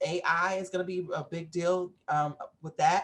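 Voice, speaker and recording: A woman's somewhat breathy voice, fairly low in pitch. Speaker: event organizer pitching an expo. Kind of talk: business pitch presentation. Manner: halting, many fillers.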